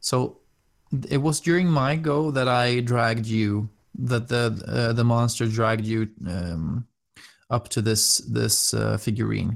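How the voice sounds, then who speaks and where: In a Swedish accent, a man talks at a fairly slow pace and medium pitch with ordinary pitch variation and very even loudness, on a very clean recording with a silent background. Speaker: podcast host, game master. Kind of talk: role-play narration.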